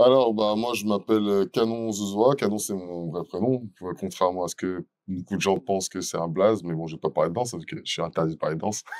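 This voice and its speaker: On a very clean recording with a silent background and a dry, close sound with no echo, a man of fairly low pitch talks at a fairly quick pace with ordinary pitch variation. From France, Meaux (Seine-et-Marne, Paris region). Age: 30s. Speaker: dancer and event entrepreneur. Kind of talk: interview. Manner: casual, with frequent hesitations.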